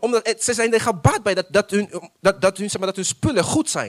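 A man's high-pitched voice carries lively intonation and an animated tone at a fairly slow pace. The sound is dry and close, with no echo. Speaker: pastor. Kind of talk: sermon. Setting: church.

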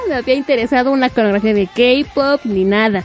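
With a Mexican accent, a woman speaks at a moderate pace in an animated tone with lively intonation. Noticeable background noise runs underneath. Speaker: radio host. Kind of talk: casual chat.

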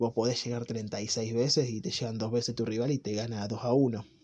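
A man speaks at a medium pitch in a dark, mellow tone. His pace is moderate. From Argentina. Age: 20s. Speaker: football commentator. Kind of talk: monologue.

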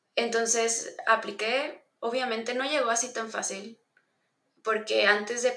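At a moderate pace, a woman speaks in a bright, sharp tone with fairly even intonation. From northern Mexico, Monterrey. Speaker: UX researcher. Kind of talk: interview.

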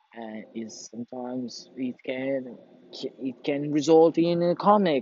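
A man talks in a Portuguese accent. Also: big swings in loudness. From Portugal. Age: young. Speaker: vlogger. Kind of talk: casual monologue. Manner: halting.

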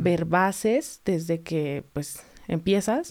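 Her tone is dark and mellow. This woman's pitch shows ordinary variation. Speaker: figure skating instructor and club founder. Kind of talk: interview.

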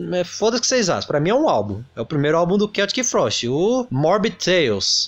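An animated tone at a fairly quick pace, with very wide pitch swings. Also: man. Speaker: music podcast host. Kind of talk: casual solo commentary.

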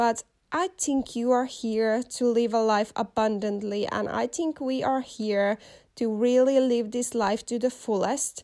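A woman speaks in a Finnish accent at a fairly high pitch and a fairly slow pace, with fairly even intonation. Her tone is dark and mellow, and the recording is very clean with a silent background. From Finland. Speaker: podcast host. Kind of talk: motivational monologue.

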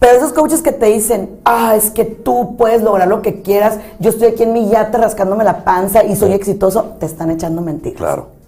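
Over music in the background, a woman with a fairly high pitch and an animated tone speaks with ordinary pitch variation. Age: 40s. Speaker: psychologist and thanatologist. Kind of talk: casual chat.

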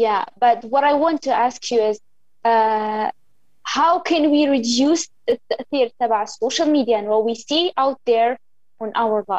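A woman speaks in a high pitch at a fairly slow pace. The sound is dry and close, with no echo. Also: ordinary pitch variation. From Algeria. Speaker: podcast interviewer. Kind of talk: interview in mixed Arabic and English. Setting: remote recording, filming on phone and talking via computer.

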